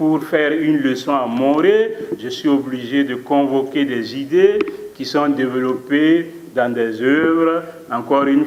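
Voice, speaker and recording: Noticeable background noise and audible room echo surround very slow speech. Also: man. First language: Mooré (speaking French). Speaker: philosophy professor. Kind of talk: conference talk. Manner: formal; hesitant with fillers.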